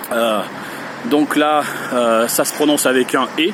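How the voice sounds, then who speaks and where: Noticeable background noise sits behind a man. He speaks at a very slow pace. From France, Lyon / Rhône. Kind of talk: language pronunciation tutorial. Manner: hesitant, many fillers; slow, careful.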